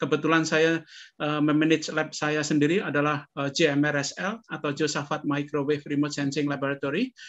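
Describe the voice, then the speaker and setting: A man with a fairly high pitch talks at a fairly quick pace in a monotone, flat intonation, with hardly any pauses. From Indonesia, Surakarta (Central Java); Central Java, Indonesia. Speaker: professor and remote sensing researcher; professor. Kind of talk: interview. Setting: video call. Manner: halting, many fillers. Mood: warm, smiling, relaxed. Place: home room. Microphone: webcam.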